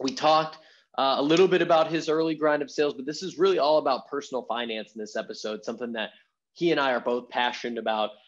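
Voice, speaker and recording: Very fast speech comes from a man with a fairly high pitch. His intonation is lively. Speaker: podcast host. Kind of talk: podcast intro monologue.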